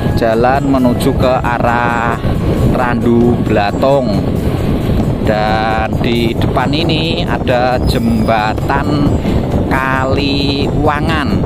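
Speech at a very slow pace sits over background music in a dry sound with no echo. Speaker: vlogger narrating a ride. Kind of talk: casual vlog commentary. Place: motorbike.

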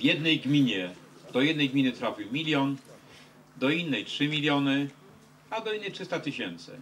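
Light background noise sits behind a man with a fairly high pitch and lively intonation. He speaks at a moderate pace with long, frequent pauses. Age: 50s. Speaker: politician. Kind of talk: meeting with fans. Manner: halting. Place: street. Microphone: handheld.

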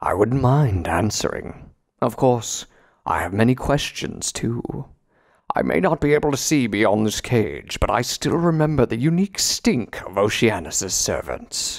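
Using a put-on character voice, a man speaks with a resonant tone at medium pitch. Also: moderate pace. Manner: imperious, wry.

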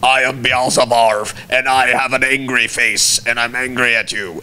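A man's put-on character voice at a medium pitch and moderate pace, with clear background noise. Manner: silly, funny, angry.

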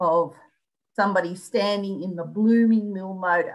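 In an Australian accent, a woman speaks at a moderate pace and medium pitch with ordinary pitch variation. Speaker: local studies librarian. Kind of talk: presentation. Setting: video call.

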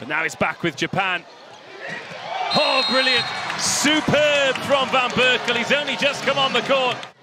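A man speaks at a fairly slow pace with an extremely high pitch and lively intonation. Long, frequent pauses break up his speech over noticeable background noise. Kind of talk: live sports commentary. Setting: commentary booth over match broadcast. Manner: enthusiastic, gushing with praise.

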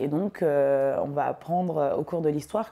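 A dark, mellow tone moves at a fairly quick pace with fairly even intonation over a quiet background. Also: woman. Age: 20s. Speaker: filmmaker. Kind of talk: interview monologue. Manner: hesitant, many fillers. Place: office. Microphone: lapel.

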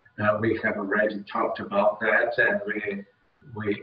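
In a room with audible echo, a man with a Portuguese accent speaks at a fairly slow pace. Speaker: event host. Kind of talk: formal event introduction, bilingual. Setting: video call. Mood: warm, smiling. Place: office. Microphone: earbuds.

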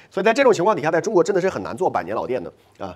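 A man's very fast speech with vocal fry and very wide pitch swings, over a quiet background. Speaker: immigration consultancy owner and channel host; immigration consultant host. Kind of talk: explainer monologue. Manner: filler-heavy, conversational. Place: studio. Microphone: lapel.

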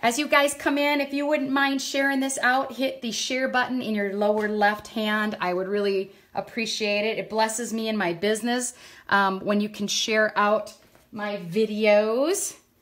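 This woman keeps a moderate pace, and her pitch shows ordinary variation. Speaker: craft demonstrator. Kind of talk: live tutorial. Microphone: phone near.

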